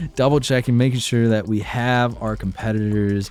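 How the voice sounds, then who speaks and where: A man with a plain, everyday voice talks at a moderate pace, his medium pitch carrying fairly even intonation. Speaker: streamer and tournament host. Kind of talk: livestream chat. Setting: livestream.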